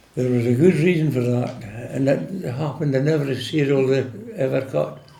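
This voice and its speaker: This man speaks with a Scottish accent at a medium pitch. His pace is fairly slow. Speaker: retired farm worker. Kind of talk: oral history interview answer.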